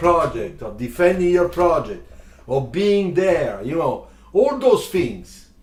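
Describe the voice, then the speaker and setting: With noticeable background noise behind him, a man talks at a very slow pace, his pitch swinging very widely. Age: 60s. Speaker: car designer and drawing teacher. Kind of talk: live stream chat.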